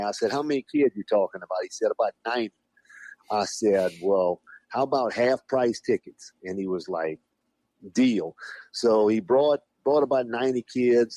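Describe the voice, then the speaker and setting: A man with a South Louisiana accent speaks at a moderate pace and medium pitch, in a dark, mellow tone with lively intonation. The sound is dry and close, with no echo. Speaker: professional wrestler. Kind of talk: casual podcast phone interview. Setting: phone line.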